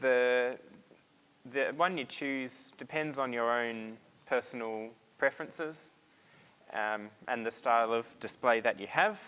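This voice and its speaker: A bright, sharp tone at a fairly slow pace, with long, frequent pauses and ordinary pitch variation. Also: man, medium pitch for a man. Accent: Australian. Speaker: presenter at a hobbyist meetup. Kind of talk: technical presentation. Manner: hesitant, many fillers.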